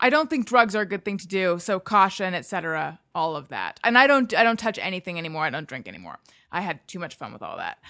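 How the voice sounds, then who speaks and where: Against a quiet background, a woman of medium pitch talks at a very fast pace with hardly any pauses, a bright, sharp tone, lively intonation and big swings in loudness. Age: 40s. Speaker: podcaster. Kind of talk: casual chat.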